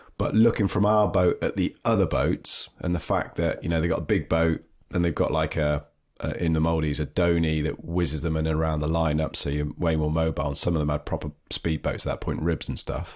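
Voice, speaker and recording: Very deep, low male speech delivered at a fairly quick pace. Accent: British. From southwest England (Dorset, Devon). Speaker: surf trip organiser. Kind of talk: podcast interview. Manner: animated.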